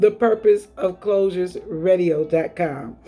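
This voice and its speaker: Music plays in the background as a woman with an American accent speaks. Her pitch is fairly low and her pace fairly slow. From US Northeast, Buffalo, New York. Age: 50s. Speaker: online radio host and author. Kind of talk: motivational monologue.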